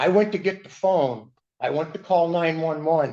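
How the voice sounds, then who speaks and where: Using a plain, everyday voice, a man talks at a moderate pace with a fairly high pitch. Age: 60s. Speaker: respondent in a court hearing. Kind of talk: court testimony. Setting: courtroom. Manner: agitated.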